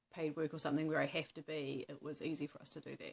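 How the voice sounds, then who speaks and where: Speaking with vocal fry at a fairly quick pace, a woman with a New Zealand accent uses a very deep, low pitch and fairly even intonation. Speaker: vlogger on wellbeing in activism. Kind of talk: casual talk to camera. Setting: at home on couch. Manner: hesitant, many fillers.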